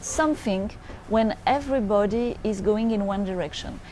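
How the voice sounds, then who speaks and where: In a French accent, a woman with a fairly high pitch speaks with lively intonation and a dark, mellow tone. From France. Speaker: futurist business advisor. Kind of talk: monologue to camera. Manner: halting, frequent hesitations.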